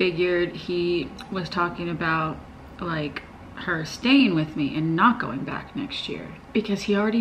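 This woman has a fairly low pitch and speaks at a fairly slow pace. Light background noise can be heard. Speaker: parent vlogger. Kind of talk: casual vlog chat. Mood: upset, earnest. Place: home room.

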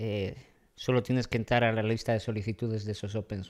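The intonation stays fairly even. There is light background noise. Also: man. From Madrid, Spain; Spain. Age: young. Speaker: comedian. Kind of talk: casual chat. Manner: hesitant, with fillers. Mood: relaxed, joking. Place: bar. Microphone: studio mic.

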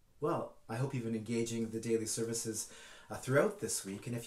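With ordinary pitch variation, a man's voice carries audible room echo. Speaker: church minister. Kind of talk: sermon.

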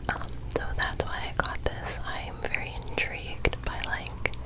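A soft-spoken woman whispering. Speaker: ASMR creator. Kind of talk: soft-spoken ASMR show-and-tell. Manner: close soft whisper into microphone. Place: home room. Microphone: studio mic.

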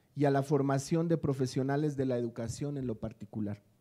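The tone is dark and mellow, with ordinary pitch variation. Delivery moves at a moderate pace. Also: man, quiet background. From Mexico. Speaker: education official; panelist. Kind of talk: prepared speech read aloud. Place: hall. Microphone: podium.

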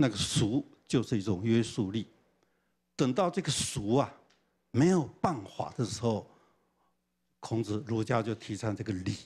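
A man's somewhat breathy voice, lively in intonation, at a fairly slow pace with long, frequent pauses. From Taiwan, Changhua; Taiwan. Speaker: professor. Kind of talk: lecture. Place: hall. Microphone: handheld.

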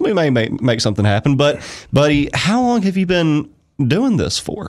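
At a moderate pace, a man speaks in a fairly high pitch with big pitch swings.

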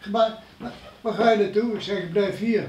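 Amid light background noise and audible room echo, a man speaks at a moderate pace in a high pitch with fairly even intonation. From Netherlands, Elden near Arnhem (Gelderland); Gelderland, Netherlands. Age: 90s. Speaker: war eyewitness, elderly villager; witness. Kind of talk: interview storytelling. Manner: halting. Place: meeting room. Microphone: camera far.

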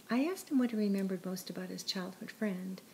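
Speaking at a fairly quick pace, a woman has a dark, mellow, somewhat breathy tone, medium pitch and lively intonation. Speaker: narrator reading her own written piece. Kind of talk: literary audiobook reading. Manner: earnest and somber, measured narration.

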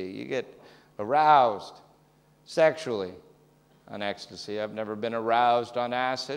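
A man's moderate-paced speech with long, frequent pauses and big swings in loudness. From Canada. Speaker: stand-up comedian. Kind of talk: stand-up. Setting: stage with audience. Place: stage.

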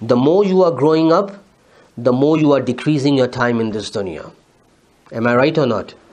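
This man speaks with a Pakistani accent at a medium pitch. His pace is moderate and his pitch varies in an ordinary way. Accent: South Asian (Urdu) English. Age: 40s. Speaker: Islamic scholar, preacher. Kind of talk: sermon.

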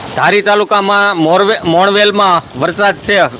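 A man with a high pitch speaks in a raised, projected voice with fairly even intonation over noticeable background noise. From Saurashtra, Gujarat (Khambha, Amreli district). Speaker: farming YouTuber. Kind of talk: live stream chat with viewers. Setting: outdoors at night during rain, live stream.

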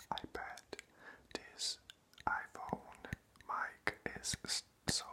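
A man whispers in a soft-spoken way. Light background noise sits behind him. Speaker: ASMR creator. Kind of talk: whispered casual vlog chat. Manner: soft close-up ASMR whisper. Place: home room. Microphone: phone near.

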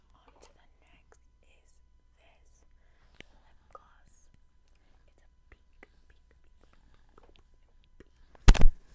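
A woman is whispering. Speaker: ASMR creator. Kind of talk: ASMR makeup application with repeated trigger words. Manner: whispered. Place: home room. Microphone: lapel.

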